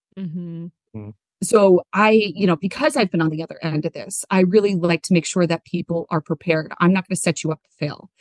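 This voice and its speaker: Here is a woman with an American accent and an unremarkable speaking voice, fairly low in pitch with ordinary pitch variation. She talks at a fairly quick pace with big swings in loudness, the sound dry and close with no echo. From New Jersey. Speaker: speech pathologist, career services manager. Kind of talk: podcast interview.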